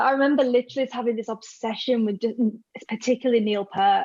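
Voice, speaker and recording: A very fast-talking woman with a Yorkshire accent. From northern England, Hull, Yorkshire. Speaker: rock fan. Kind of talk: casual chat.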